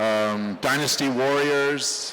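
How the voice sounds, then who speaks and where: Noticeable background noise sits behind the voice. A man speaks with fairly even intonation. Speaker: voice actor. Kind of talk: convention panel talk. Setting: convention stage, live audience.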